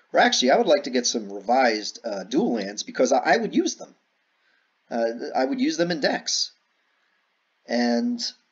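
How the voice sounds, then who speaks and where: Vocal fry marks this man's fairly high voice, which swings very widely in pitch. He speaks at a moderate pace with long, frequent pauses. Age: 40s. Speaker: YouTuber and card game hobbyist. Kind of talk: casual commentary vlog while playing a card game. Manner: halting, many fillers and repeats.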